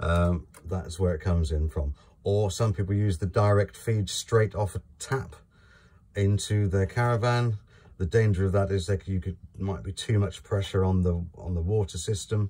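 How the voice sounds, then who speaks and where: The voice has a dark, mellow tone and is somewhat breathy, moving at a moderate pace with ordinary pitch variation on a very clean recording with a silent background. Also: man, fairly low pitch for a man. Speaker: caravan dealer presenter. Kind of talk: product walkthrough tutorial. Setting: inside a caravan.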